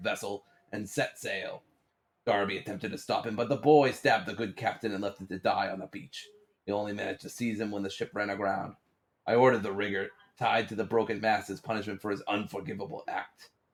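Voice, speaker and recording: Using a put-on character voice, a man rattles along at a very fast pace, raspy and fairly low in pitch. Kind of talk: theatrical journal reading. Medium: game stream. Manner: grave, dramatic.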